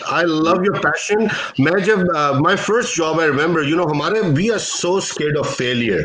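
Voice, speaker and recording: Moderate-paced speech with a non-native accent, ordinary pitch variation and very even loudness, plus audible room echo and noticeable background noise. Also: man, high pitch for a man. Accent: foreign. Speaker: investor. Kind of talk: panel discussion. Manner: animated.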